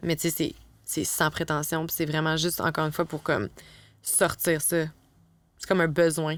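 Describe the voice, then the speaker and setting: Over a silent background in a very clean recording, a woman with a Quebec accent speaks in a monotone, flat way at a fairly low pitch and a moderate pace. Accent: Québécois French. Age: young. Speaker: advertising copywriter. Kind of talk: casual chat.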